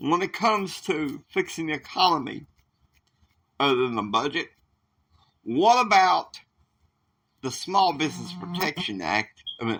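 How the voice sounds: A man uses a put-on character voice with a bright, sharp tone and big pitch swings. He speaks at a fairly slow pace, with long, frequent pauses. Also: fairly high pitch for a man.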